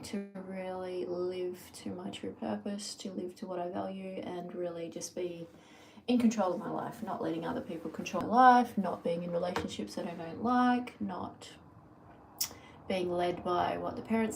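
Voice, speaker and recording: Audible room echo surrounds a woman speaking in an Australian accent. Her pitch is medium and her pace moderate. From Australia, New South Wales. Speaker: lifestyle vlogger. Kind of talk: casual live-stream monologue. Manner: rambling with many fillers.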